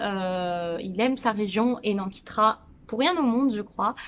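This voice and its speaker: The woman's voice is fairly high, with ordinary pitch variation. She speaks at a fairly slow pace. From Brittany, France (Saint-Brieuc). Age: 20s. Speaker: family vlogger. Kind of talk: casual chat to camera. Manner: hesitant, many fillers.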